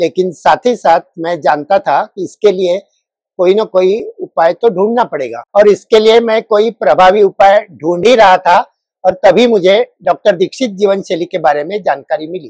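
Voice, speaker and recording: Recorded dry and close with no echo, a man talks in a high pitch with ordinary pitch variation. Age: 60s. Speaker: retired government officer, patient. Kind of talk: testimony. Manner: formal.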